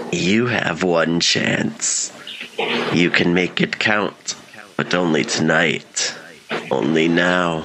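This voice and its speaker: A man puts on a raspy character voice with a very deep, low pitch, speaking at a very slow pace. Clear background noise can be heard. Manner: cold, menacing, terse.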